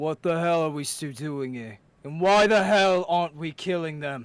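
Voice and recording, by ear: In a growling put-on character voice, a man speaks at fairly high pitch and a moderate pace. The recording is very clean, with a silent background.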